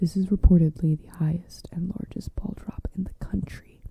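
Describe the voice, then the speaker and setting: Someone is whispering at a moderate pace. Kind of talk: encyclopedia article reading. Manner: soft-spoken.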